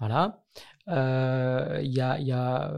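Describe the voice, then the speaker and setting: The recording is very clean, with a silent background. A man speaks at a medium pitch, sounding somewhat breathy. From Belgium, Brussels. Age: 30s. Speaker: nonprofit director. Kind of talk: interview. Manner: hesitant, many fillers.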